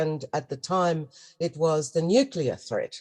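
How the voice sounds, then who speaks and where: The speaker has an Australian accent. The pace is moderate. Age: 70s. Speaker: spiritual teacher, goddess priestess. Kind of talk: interview.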